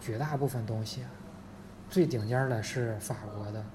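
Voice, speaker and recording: The voice moves at a moderate pace amid noticeable background noise. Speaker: former Russian-language professional, now general manager's assistant. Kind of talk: casual chat.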